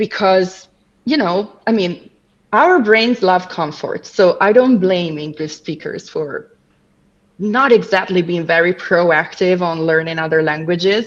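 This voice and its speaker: A woman at medium pitch with a non-native accent, fairly slow, with long and frequent pauses. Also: ordinary pitch variation. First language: not English. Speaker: language coach. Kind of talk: casual chat.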